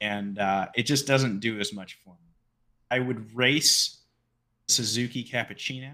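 A man with a normal speaking voice at a medium pitch, with fairly even intonation, big swings in loudness and a fairly slow pace. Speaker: podcast co-host. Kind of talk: casual chat.

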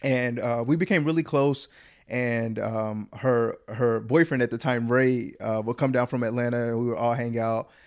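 In a Southern US accent, a man talks at a moderate pace in a medium-pitched voice with fairly even intonation, on a very clean recording with a silent background. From US South, Huntsville, Alabama. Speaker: actor. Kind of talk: casual chat.

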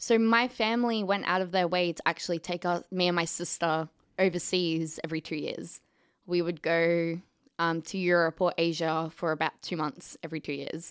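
In an Australian accent, a woman with a fairly low voice speaks at a moderate pace with fairly even intonation, the recording very clean against a silent background. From Australia, southeast Queensland. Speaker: film student. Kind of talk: casual interview chat.

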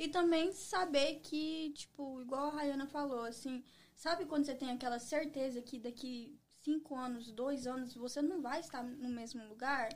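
A woman with a high pitch speaks at a moderate pace against noticeable background noise. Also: ordinary pitch variation. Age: 20s. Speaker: entrepreneur. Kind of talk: casual interview.

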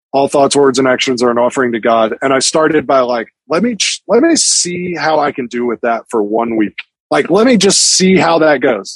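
In a normal speaking voice, a man talks at a moderate pace with a fairly high pitch and lively intonation, the sound dry and close with no echo. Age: 40s. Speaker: magazine editor. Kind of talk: casual interview. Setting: video call.

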